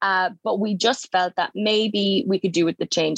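With a Cork accent, a woman talks at a moderate pace with fairly even intonation, in a dry, close sound with no echo. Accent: southern Irish (Cork). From Ireland, County Cork. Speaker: nurse. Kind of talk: casual interview chat.

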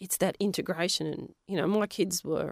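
In an Australian accent, a woman speaks at a moderate pace with a medium pitch. The recording is very clean, with a silent background. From Western Australia (Perth), Polish-speaking home. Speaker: science teacher and geologist. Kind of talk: interview.

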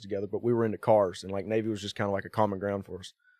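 A man in a Southern US accent at a very fast pace. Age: 30s. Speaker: drift car driver. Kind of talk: casual chat.

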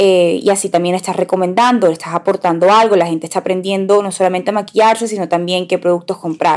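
A woman speaks in an ordinary speaking voice, her pitch medium and its variation ordinary. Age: 20s. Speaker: podcast co-host, makeup influencer. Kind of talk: casual chat.

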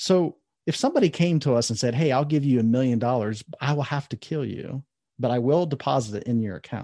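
With a Midwestern accent, a man speaks at medium pitch and with ordinary pitch variation, his dark, mellow tone recorded dry and close with no echo over a quiet background. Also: fairly quick pace. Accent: General American (Midwest). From US Midwest (Columbus, Ohio). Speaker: author and life coach. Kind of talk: interview conversation.

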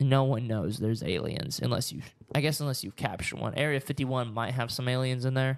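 An ordinary speaking voice: a man at a medium pitch talks at a fairly quick pace with ordinary pitch variation. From Oklahoma, US. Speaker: podcast co-host. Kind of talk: casual solo chat to camera. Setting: studio with cameras. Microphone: new microphone stand.

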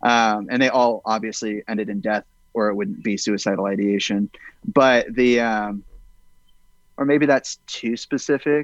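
Heard against a quiet background with a dry, close sound and no echo, a man with an unremarkable speaking voice talks at a fairly slow pace at medium pitch with ordinary pitch variation. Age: 20s. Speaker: film director. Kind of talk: casual chat.

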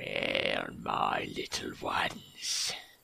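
In a put-on character voice, a man whispers in a soft-spoken, raspy, menacing tone. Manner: soft, menacing whisper.

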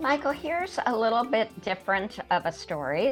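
This woman's intonation is lively. Behind her voice, music is playing. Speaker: professor and storyteller, co-host. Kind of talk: casual commentary and discussion. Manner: conversational, thoughtful, with fillers.

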